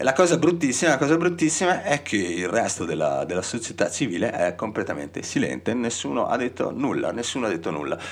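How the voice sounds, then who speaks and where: There is noticeable background noise behind this man. He talks fairly quickly, with hardly any pauses. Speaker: radio host. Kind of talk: radio DJ talk and political commentary. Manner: halting, many repetitions.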